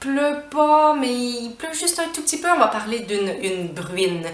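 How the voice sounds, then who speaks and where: In a Quebec accent, a woman talks at a moderate pace with fairly high pitch. Her intonation is lively, and there is noticeable background noise. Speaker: French teacher. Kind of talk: language lesson to camera.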